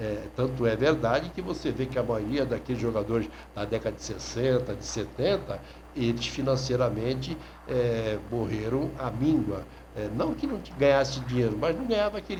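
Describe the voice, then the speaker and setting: Medium-pitched male speech amid noticeable background noise, with audible room echo. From Brazil, São Vicente (São Paulo coast). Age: 60s. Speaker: sports journalist. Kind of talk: radio talk monologue. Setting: online radio.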